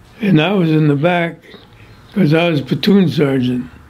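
Fairly slow delivery from a man with a fairly high pitch. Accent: Midwestern American. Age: 80s+. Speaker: war veteran. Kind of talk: interview answer. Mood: somber reminiscing. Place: home room.

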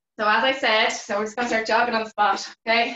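Over light background noise and audible room echo, a woman talks at a very fast pace in a monotone, flat intonation. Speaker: fitness instructor. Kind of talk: live online exercise class instruction. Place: home room. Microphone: video call.

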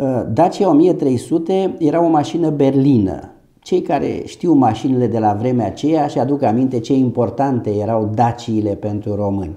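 Lively intonation carries this voice at a moderate pace. Behind it, the background is quiet. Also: man. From Romania, Ilfov county near Bucharest; Romania. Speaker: doctor and medical business owner. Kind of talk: interview. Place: office. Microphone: lapel.

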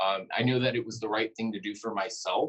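The speaker is a man with an American accent and a fairly low pitch. He talks at a fairly quick pace. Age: 20s. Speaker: student and school board candidate. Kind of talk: panel talk. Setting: breakfast meeting panel. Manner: hesitant, many fillers.

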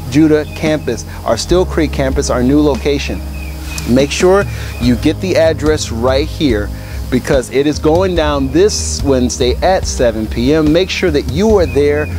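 A man talks at a fairly slow pace in a dry sound with no echo. Clear music plays in the background. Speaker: church announcer. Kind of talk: announcements to camera. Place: garden.

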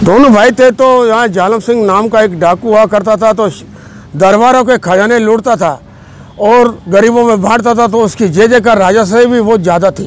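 In a dry sound with no echo, a high-pitched man speaks at a fairly slow pace with fairly even intonation. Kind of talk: storytelling narration. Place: open country. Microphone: phone near.

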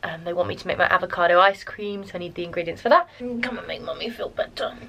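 A woman talks at a very fast pace. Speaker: vlogger. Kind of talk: casual vlog.

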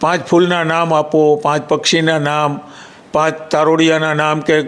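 A high-pitched man over noticeable background noise. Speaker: retired forest officer. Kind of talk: interview.

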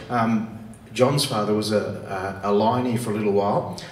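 A man with an Australian accent speaks at a moderate pace amid light background noise and audible room echo. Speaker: government minister. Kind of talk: formal speech. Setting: stage with audience. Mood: warm, personal anecdote. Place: hall.

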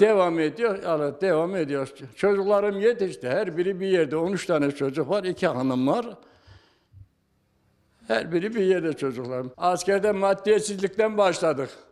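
With lively intonation and a high-pitched voice, a man talks at a moderate pace. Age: 80s+. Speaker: photographer. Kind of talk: interview answer.

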